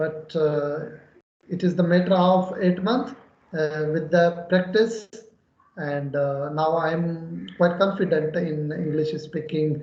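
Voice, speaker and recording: Someone with a Pakistani accent speaks at a very slow pace with ordinary pitch variation, and audible room echo is present. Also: man, fairly high pitch for a man. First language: Urdu. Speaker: English learner. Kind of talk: conversation practice. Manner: halting.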